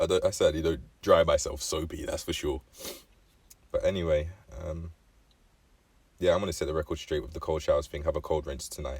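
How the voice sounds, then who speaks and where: A man with an English accent at a fairly quick pace, broken by long, frequent pauses. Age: 20s. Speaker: vlogger. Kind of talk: casual vlog monologue. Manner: halting, with frequent fillers and self-corrections.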